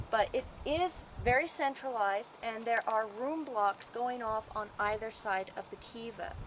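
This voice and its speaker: A woman with a normal speaking voice, pitched fairly high, talks at a fairly slow pace with ordinary pitch variation. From Colorado, USA. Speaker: archaeologist. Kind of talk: casual talk to camera, video audition. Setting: outdoors.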